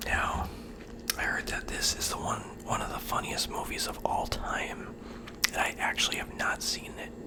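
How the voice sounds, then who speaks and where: Whispering at a moderate pace, someone leaves long, frequent pauses while noticeable background noise continues. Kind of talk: ASMR video talking to the camera about a movie collection. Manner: soft, casual, conversational.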